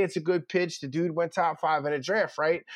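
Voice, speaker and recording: A man talks with a Philadelphia accent and a high pitch. The background is quiet. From Philadelphia (North Philly). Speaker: college football recruiting reporter. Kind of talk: casual chat.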